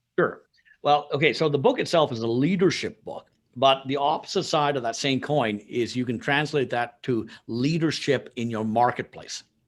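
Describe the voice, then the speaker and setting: A man talks at a moderate pace with a fairly high pitch and ordinary variation. The recording is very clean, with a silent background. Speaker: sales and marketing consultant and author. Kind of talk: podcast interview. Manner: animated.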